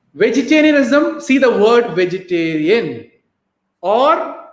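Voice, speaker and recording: A man with a Keralan accent speaks very slowly at an extremely high pitch, his voice swinging very widely in pitch. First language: Malayalam. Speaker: motivational talk show host. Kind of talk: live stream Q&A. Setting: live stream on Facebook and YouTube.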